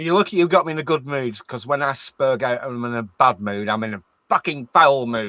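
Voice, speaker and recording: A man with an English accent talks at a fairly quick pace in a bright, sharp tone. The sound is dry and close, with no echo. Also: medium pitch for a man, ordinary pitch variation. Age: 50s. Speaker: stream chat guest. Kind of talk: casual chat.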